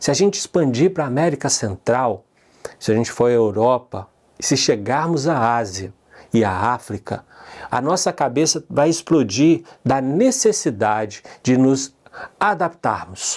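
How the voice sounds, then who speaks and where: At a fairly slow pace, a man with a medium-pitched voice speaks with lively intonation and very even loudness. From Brazil, Minas Gerais. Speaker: conference host. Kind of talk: conference opening address.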